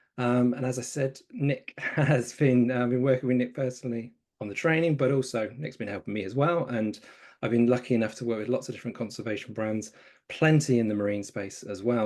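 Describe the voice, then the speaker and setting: A man speaks at a very fast pace with a southern English accent. His pitch is medium, with ordinary variation. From southern England, Brighton. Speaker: conservation communications trainer, co-host. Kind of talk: webinar introduction. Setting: online webinar.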